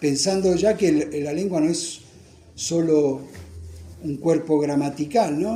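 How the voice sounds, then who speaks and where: A somewhat breathy man's voice, fairly high in pitch, with a dark, mellow tone and a fairly slow pace. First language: Italian (speaking Spanish). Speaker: author presenting his book. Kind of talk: book presentation talk. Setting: bookstore event with audience. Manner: halting, repeats words.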